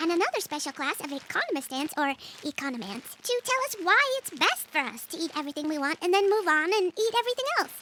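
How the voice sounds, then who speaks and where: A female-sounding voice does a put-on character voice at an extremely high pitch for a woman. The pace is very fast. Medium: audio drama.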